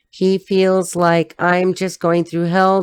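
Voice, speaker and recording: In an American accent, a woman speaks at a fairly low pitch in a flat monotone, the sound dry and close with no echo. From Los Angeles, US. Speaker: tarot reader. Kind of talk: tarot reading.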